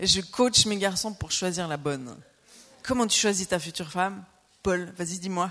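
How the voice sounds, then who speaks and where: A woman talks at a moderate pace in a medium pitch, her animated tone bright and sharp, with ordinary pitch variation and long, frequent pauses. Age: 40s. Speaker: preacher. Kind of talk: sermon.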